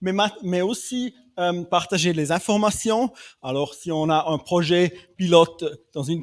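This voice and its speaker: Very slow speech in a non-native accent, with ordinary pitch variation, a dry, close sound with no echo and a very clean recording over a silent background. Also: man. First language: not French (speaking French). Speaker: development bank specialist. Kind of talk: panel discussion. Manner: halting, many hesitations.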